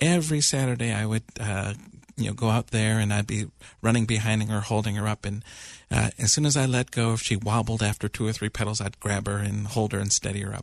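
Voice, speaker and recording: A man's ordinary speaking voice, fairly low and fairly quick, with fairly even intonation, dry and close with no echo over a quiet background. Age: 40s. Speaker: psychiatrist and internist, regular radio co-host. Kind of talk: call-in radio discussion. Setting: radio studio.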